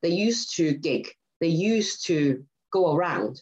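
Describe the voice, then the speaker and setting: The woman's voice sits at a fairly low pitch. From Hong Kong. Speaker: rock band singer. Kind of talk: interview. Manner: halting.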